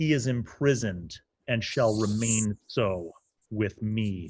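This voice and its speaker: Using a put-on character voice, a man speaks in a booming tone. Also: medium pitch for a man, fairly slow pace, ordinary pitch variation. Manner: booming, forceful.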